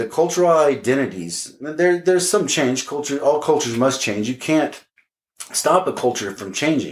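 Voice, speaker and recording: A man with an American accent, fairly high in pitch, with lively intonation at a moderate pace. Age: 50s. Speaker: podcast host. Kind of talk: solo podcast monologue. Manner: many fillers and repeated words.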